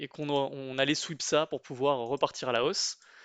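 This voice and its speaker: A man at a moderate pace, with a dry, close sound with no echo and a quiet background. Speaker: trading YouTuber. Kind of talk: trading tutorial, chart walkthrough. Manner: casual with many filler hesitations.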